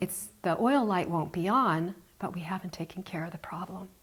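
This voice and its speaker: Her voice is somewhat breathy and sits at a medium pitch. The woman keeps a moderate pace, and her pitch varies in an ordinary way. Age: 60s. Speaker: health show host. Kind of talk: casual chat.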